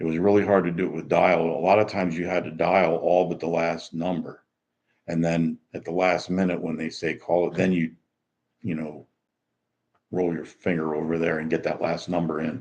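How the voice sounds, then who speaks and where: At a very deep, low pitch, a man talks in a relaxed tone. His intonation is monotone and flat, and his pace is moderate. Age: 60s. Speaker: retiree. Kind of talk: casual livestream talk to camera. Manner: relaxed, rambling, many fillers.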